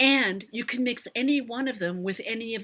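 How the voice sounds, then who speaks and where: The woman's tone is bright and sharp, with lively intonation. She speaks at a fairly slow pace. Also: very clean recording, silent background. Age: 70s. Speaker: beauty vlogger. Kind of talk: livestream tutorial with Q&A. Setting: live stream.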